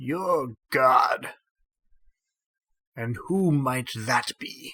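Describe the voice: A man does a put-on character voice that sounds creaky and raspy. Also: fairly high pitch for a man.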